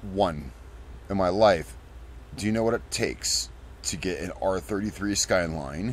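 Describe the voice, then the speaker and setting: A man with an American accent speaks at a moderate pace in a very deep, low voice with vocal fry and very wide pitch swings. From United States. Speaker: gaming youtuber. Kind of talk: gameplay commentary. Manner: casual, rambling with restarts.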